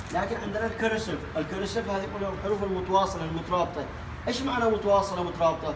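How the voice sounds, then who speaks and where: Noticeable background noise behind ordinary pitch variation. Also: man. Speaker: English teacher. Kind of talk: language lesson. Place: classroom. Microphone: camera far.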